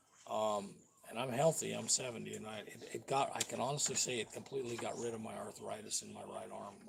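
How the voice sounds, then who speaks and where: Against noticeable background noise, a man talks very fast with big swings in loudness. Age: 70s. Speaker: vlogger. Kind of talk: casual live-stream rant. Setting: home live stream.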